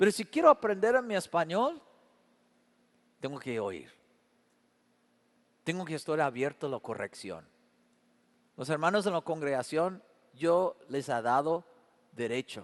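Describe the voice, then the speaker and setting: With a fairly high pitch and very wide pitch swings, a man speaks at a fairly slow pace with long, frequent pauses, in a dry, close sound with no echo and a quiet background. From Canada. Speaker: pastor. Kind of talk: sermon.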